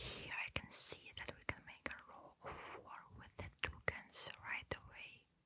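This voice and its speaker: A calm whisper delivered at a fairly slow pace. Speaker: ASMR creator. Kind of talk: ASMR gameplay commentary. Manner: quiet whisper; soft-spoken, calm.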